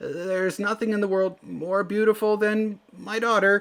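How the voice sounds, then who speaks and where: Putting on a character voice, a man speaks at a moderate pace in a high, flat monotone with a nervous tone. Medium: read story. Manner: stammering, nervous.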